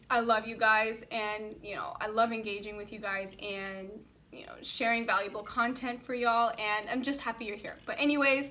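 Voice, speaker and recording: Recorded with audible room echo, the voice has a bright, sharp tone, a moderate pace, fairly even intonation and big swings in loudness. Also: woman, fairly high pitch for a woman. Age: 20s. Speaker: lifestyle blogger and youtuber. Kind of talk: casual Q&A talk to camera. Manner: chatty, informal.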